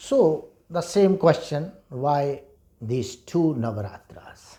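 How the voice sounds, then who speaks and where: A man speaks with a fairly high pitch, lively intonation and a somewhat breathy, dark, mellow tone. The recording is very clean, with a silent background. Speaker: Vedic scholar and teacher. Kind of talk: lecture. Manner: slow.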